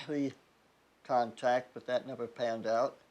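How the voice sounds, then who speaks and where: This is a man's voice. He speaks with a Midwestern US accent. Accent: General American (Midwestern). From US Midwest (Nebraska, Ohio). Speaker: war veteran. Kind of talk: oral history interview.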